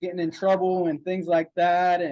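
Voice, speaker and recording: The pace here is moderate. This man talks in a high voice. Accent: American. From Pittsburgh, Pennsylvania, US. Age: 20s. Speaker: entrepreneur and credit course seller. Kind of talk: sales presentation.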